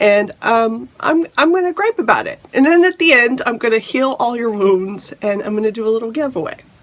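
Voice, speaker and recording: A woman with lively intonation talks fairly quickly while noticeable background noise carries on. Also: fairly high pitch for a woman. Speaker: lifestyle vlogger. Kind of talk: casual vlog talk.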